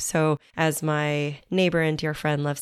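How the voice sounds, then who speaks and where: A woman's very deep, low-pitched voice is captured in a very clean recording with a silent background. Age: 40s. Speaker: podcast host, mindfulness guide. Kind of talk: guided meditation. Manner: slow; soft-spoken.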